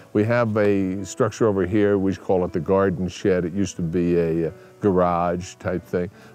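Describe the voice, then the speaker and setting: With music in the background, a man with a very deep, low pitch speaks at a moderate pace, his intonation fairly even and his loudness very even. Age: 70s. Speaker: ranch owner selling property. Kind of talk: casual interview talk. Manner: halting.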